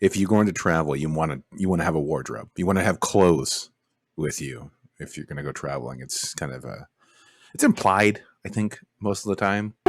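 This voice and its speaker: A man's very deep, low voice with vocal fry, lively intonation and big swings in loudness, on a very clean recording with a silent background. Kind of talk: casual commentary over a video, riffing jokes.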